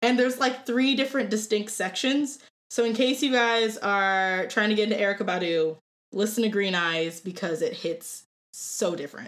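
On a very clean recording with a silent background, a woman with an American accent uses an unremarkable speaking voice at a fairly high pitch, with ordinary pitch variation and a moderate pace. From Ohio, Cleveland. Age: 20s. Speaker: opera voice student. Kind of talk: casual chat.

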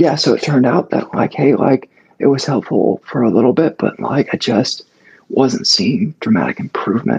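A man at medium pitch talks at a moderate pace with lively intonation and very even loudness, his voice breathy and strained in a dry, close sound with no echo. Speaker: podcast guest sharing health story. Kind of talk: casual chat. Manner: halting.

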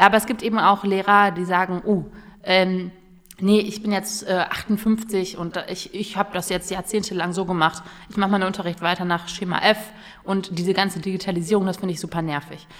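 This woman talks at a fairly quick pace with a medium pitch. Her intonation is monotone and flat. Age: 20s. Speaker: youth politician. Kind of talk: casual interview. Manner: hesitant, many fillers.

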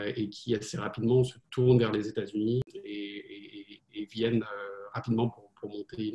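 A man speaks at a medium pitch, somewhat breathy. His pace is fairly slow and his intonation fairly even. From France. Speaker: venture capital investor. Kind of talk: interview. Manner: halting.

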